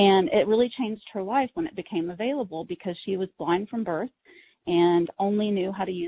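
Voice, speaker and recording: Lively intonation and a moderate pace in a woman's plain, everyday voice of medium pitch. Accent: American. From Texas. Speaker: accessibility educator. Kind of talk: webinar presentation. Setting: online webinar.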